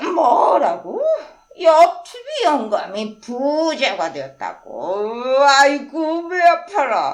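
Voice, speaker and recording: A woman's put-on character voice, high and very slow, with very wide pitch swings. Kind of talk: children's story reading.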